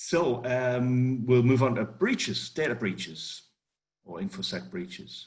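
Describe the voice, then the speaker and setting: A man with a strong northeast English accent at a fairly slow pace, with very wide pitch swings and big swings in loudness. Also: medium pitch for a man. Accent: strong northeast English (Geordie-like). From northeast England. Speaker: cybersecurity consultant. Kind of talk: webinar presentation. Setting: online webinar.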